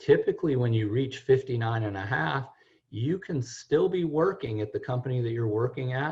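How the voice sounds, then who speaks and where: A man speaks at a moderate pace with a medium pitch and lively intonation. His voice is somewhat breathy. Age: 60s. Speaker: financial planner. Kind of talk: radio talk show.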